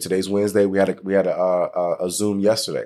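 A man talks in an unremarkable speaking voice with a fairly low pitch at a moderate pace. The recording is very clean, with a silent background. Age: 30s. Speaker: leadership speaker and insurance agent. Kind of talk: interview.

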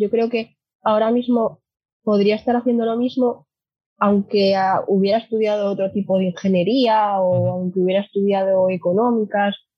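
A woman speaks at a fairly slow pace with fairly even intonation. Her voice is somewhat breathy. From Asturias, Spain. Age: 20s. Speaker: sustainable mobility company employee, former kart racer. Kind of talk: casual interview.

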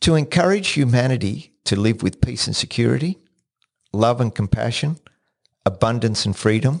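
Lively intonation from a man at medium pitch, moderate pace, with long, frequent pauses. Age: 60s. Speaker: podcast host. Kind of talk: solo podcast monologue. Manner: repeats words when starting sentences.

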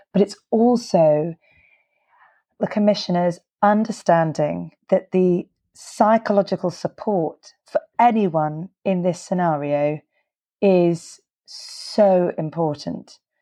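With a British accent, a woman speaks at a very slow pace in a dark, mellow tone and medium pitch, her pitch variation ordinary, the sound dry and close with no echo over a quiet background. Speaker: podcast host and laryngology clinician. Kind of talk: interview.

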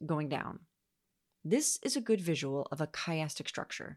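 A woman with a plain, everyday voice talks at a moderate pace with lively intonation, the sound dry and close with no echo over a quiet background. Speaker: podcast host. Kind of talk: scripted-sounding Bible teaching read aloud, like an audiobook. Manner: measured, steady, formal reading pace.

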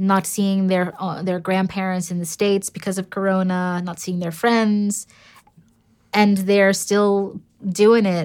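In a very clean recording with a silent background, a woman with a New York accent speaks fairly slowly at a medium pitch in a monotone, flat intonation. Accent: New York American. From US, New York City. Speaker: entrepreneur and angel investor. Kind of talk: interview conversation.

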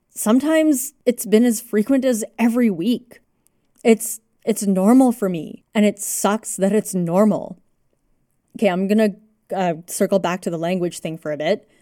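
In a Canadian accent, a woman speaks at a moderate pace with a dark, mellow tone. The sound is dry and close with no echo, and the recording is very clean with a silent background. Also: fairly high pitch for a woman, ordinary pitch variation. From Canada. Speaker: podcast host. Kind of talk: solo podcast monologue. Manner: casual, with laughs.

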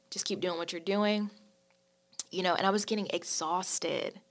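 In a very clean recording with a silent background, a woman with an American accent has an unremarkable speaking voice with ordinary pitch variation. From North Carolina (High Point). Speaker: church leader. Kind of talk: casual chat.

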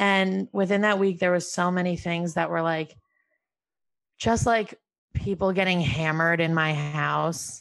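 A woman with an American accent and a normal speaking voice talks at a fairly slow pace with fairly low pitch. Her pitch variation is ordinary, her loudness very even, and the background quiet. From upstate New York, Albany. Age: 20s. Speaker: comedian. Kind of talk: casual chat.

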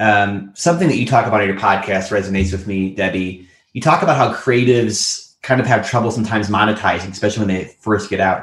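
A man speaks very fast with hardly any pauses. His fairly low pitch shows ordinary variation. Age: 30s. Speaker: podcast co-host. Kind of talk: casual interview. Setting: remote call.

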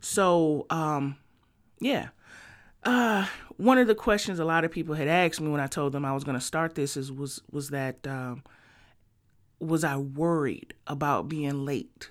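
On a very clean recording with a silent background, a woman with an American accent speaks at a very deep, low pitch and a fairly slow pace, with lively intonation and long, frequent pauses. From Detroit, Michigan. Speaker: podcast host and music marketing entrepreneur. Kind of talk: solo podcast monologue. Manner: casual, with frequent fillers.

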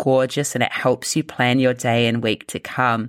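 A woman speaks in a New Zealand accent. The recording is very clean, with a silent background. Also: dry, close sound with no echo. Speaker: health coach and business owner. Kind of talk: interview conversation.

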